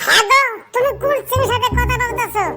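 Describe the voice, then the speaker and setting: In a cartoonish character voice, a woman speaks with an extremely high pitch and a squeaky sound. The pace is fairly quick, with faint music in the background. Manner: blunt, colloquial.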